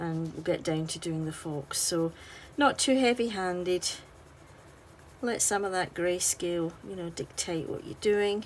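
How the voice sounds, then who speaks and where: Speaking at a fairly slow pace, a woman with a Scottish accent has a fairly low pitch, a relaxed, gentle tone, ordinary pitch variation, and big swings in loudness. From Scotland. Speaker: artist and colouring tutorial maker. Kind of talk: tutorial.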